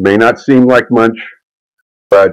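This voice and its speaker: A man is talking with ordinary pitch variation. Behind him, music is playing. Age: 60s. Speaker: investing class teacher. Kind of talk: online class lecture. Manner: halting, with filler words.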